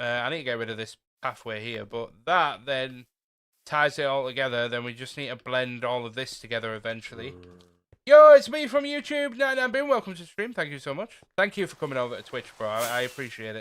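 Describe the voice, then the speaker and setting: With a northern English accent, a man is talking. His loudness swings widely. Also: fairly quick pace. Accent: northern English, mistaken for Scottish. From northeast England (Teesside, Redcar). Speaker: gaming streamer. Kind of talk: casual live-stream chat. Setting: live stream. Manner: animated.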